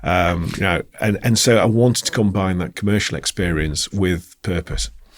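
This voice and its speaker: A man in a Yorkshire accent speaks at a moderate pace, his very deep, low voice showing ordinary pitch variation. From Yorkshire, Bradford. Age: 40s. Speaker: company founder and CEO. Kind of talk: podcast interview.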